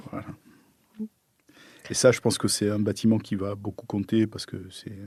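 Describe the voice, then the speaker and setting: With a southern French accent, a man talks at a moderate pace in a medium pitch and a dark, mellow tone. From southern France. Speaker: architect. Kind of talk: interview answer. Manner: discreet, hesitant.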